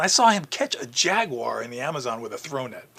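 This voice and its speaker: Over noticeable background noise, a man talks with an American accent. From New York City. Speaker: zoo communications director. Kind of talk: interview storytelling.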